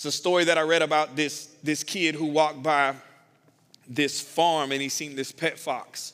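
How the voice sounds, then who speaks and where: A man talks in a fairly high voice with monotone, flat intonation. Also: moderate pace. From US South. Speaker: pastor. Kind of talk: sermon.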